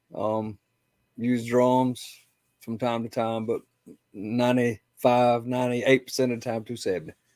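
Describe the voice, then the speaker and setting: With a South Carolina Lowcountry accent, the speaker keeps a monotone, flat intonation at a moderate pace, broken by long, frequent pauses. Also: man, medium pitch for a man. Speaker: competition barbecue cook. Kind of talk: casual chat.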